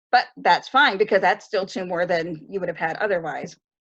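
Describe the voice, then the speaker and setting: This is a woman with a plain, everyday voice, speaking at a moderate pace with ordinary pitch variation. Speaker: librarian presenter. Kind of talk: online tutorial presentation.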